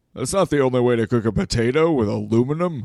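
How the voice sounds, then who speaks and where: A man talks at a very fast pace in a put-on character voice. His pitch is medium, with ordinary pitch variation. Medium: comedy sketch. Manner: chatty, inquisitive.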